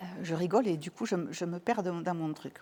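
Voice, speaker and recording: Here a woman is talking. Her voice lands at a medium pitch. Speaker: couple and family therapist. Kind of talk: talk to an audience, personal testimony. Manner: hesitant, many fillers and repetitions.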